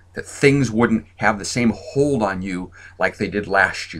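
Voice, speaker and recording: Fairly low male voice, its pitch varying in an ordinary way. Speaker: pastor. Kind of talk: sermon. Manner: fast; halting, many repeated words.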